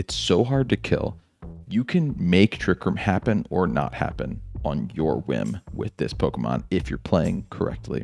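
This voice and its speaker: A quiet man's voice with vocal fry, dry and close with no echo. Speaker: gaming YouTuber. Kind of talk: video game commentary. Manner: quiet, low voice.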